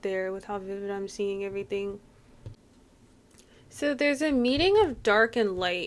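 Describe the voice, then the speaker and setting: This woman has an ordinary speaking voice, with medium pitch, ordinary pitch variation and a moderate pace. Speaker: tarot card reader. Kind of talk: channeled reading. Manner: casual, rambling.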